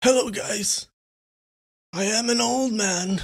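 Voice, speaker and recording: A put-on character voice sits at a fairly high pitch and sounds strained. It moves at a fairly slow pace. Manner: strained, tightened throat.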